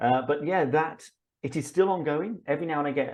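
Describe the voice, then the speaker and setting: A man is speaking. He has an English accent. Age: 50s. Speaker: public speaking coach. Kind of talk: interview. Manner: halting.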